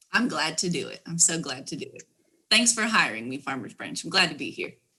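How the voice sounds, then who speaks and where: A woman with a slight Texas accent, fairly quick, bright and sharp in tone, with very wide pitch swings and big swings in loudness. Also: fairly low pitch for a woman. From southern California. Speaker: emergency management specialist. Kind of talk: casual interview chat.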